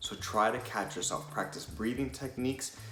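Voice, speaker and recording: A man speaks with audible room echo and music in the background. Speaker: presentation skills coach. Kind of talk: tutorial. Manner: fast.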